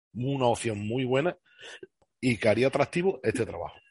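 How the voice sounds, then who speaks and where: Somewhat breathy and medium in pitch, a man speaks at a moderate pace. The sound is dry and close, with no echo. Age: 40s. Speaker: bus driver. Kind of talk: interview.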